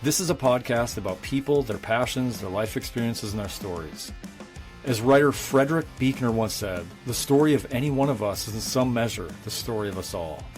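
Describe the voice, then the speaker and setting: Music plays behind a man with a medium pitch and lively intonation. He talks at a fairly quick pace. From North Dakota. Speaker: podcast host. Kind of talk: podcast intro read.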